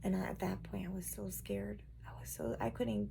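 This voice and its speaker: A woman whispers quietly at a moderate pace. Her voice has vocal fry. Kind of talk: personal testimony talk to camera.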